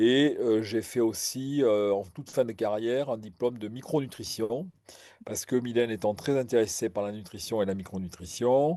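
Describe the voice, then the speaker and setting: A man's medium-pitched voice, dark and mellow in tone, with ordinary pitch variation, a moderate pace and a quiet background. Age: 60s. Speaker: retired general practitioner. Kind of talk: interview. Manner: halting, many fillers and repetitions.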